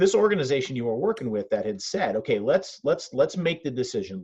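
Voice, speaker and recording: Somewhat breathy, a man's fairly high voice has a dark, mellow tone. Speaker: host of a fundraising interview series. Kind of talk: interview host talk.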